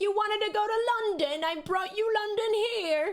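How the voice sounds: A put-on character voice with a British accent, pitched extremely high. The pace is moderate. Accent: British, deliberately bad.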